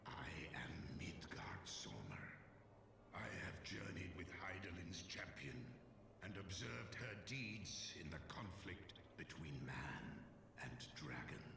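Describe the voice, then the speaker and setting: A man whispers in a put-on character voice at a fairly slow pace, with long, frequent pauses, a clear echo and loud background noise. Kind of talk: archaic solemn speech. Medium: video game. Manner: grave, measured.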